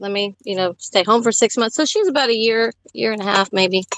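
Music plays in the background as a woman with a medium pitch speaks, the sound dry and close with no echo. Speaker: stay-at-home mother. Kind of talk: casual chat.

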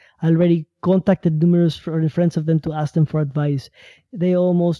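Fairly high male voice with monotone, flat intonation, a dark, mellow tone and a fairly quick pace, dry and close with no echo. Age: 30s. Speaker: caller. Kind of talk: call-in conversation. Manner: halting.

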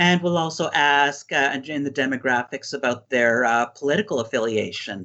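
This is a man talking. He has a Canadian accent. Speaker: psychology professor. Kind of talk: interview. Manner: halting, many fillers.

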